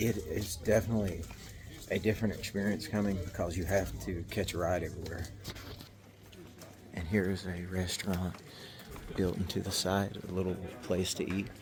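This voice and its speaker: Someone with a Southern US accent talks at a moderate pace, leaving long, frequent pauses. Room echo is audible throughout. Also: man. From US South, West Virginia (McDowell County). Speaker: travel vlogger. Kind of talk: casual travel vlog narration. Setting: outdoors. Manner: animated.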